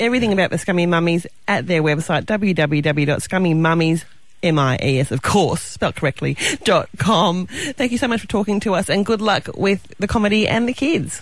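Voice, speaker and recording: A woman speaks with lively intonation. Her loudness stays very even. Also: medium pitch for a woman, moderate pace. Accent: Australian. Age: 40s. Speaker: radio host. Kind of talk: radio interview.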